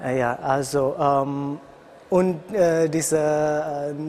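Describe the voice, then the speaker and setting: A man with an Indonesian accent speaks at a fairly high pitch in a flat, monotone way, with noticeable background noise. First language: Indonesian (speaking German). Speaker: international university student. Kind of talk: interview. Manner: halting.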